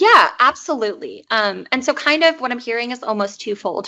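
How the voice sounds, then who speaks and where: The speaker is a woman with an American accent. She keeps a moderate pace. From United States. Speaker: PhD student presenter. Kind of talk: academic presentation. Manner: frequent filler ums.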